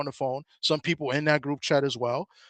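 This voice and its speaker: Against a quiet background, a man with a fairly high pitch speaks at a fairly quick pace in a monotone, flat intonation, and the sound is dry and close with no echo. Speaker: boxing commentator. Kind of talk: casual panel discussion. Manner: fast; hesitant, many fillers and restarts.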